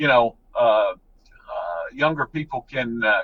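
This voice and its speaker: A man's unremarkable speaking voice at a moderate pace, with fairly even intonation. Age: 60s. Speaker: water authority executive director. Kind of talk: interview.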